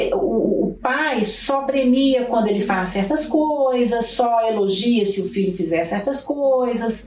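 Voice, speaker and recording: A woman with a fairly high pitch talks at a fairly slow pace. Noticeable background noise and audible room echo fill the recording. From Brazil, Belo Horizonte (Minas Gerais). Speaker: psychologist. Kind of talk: interview.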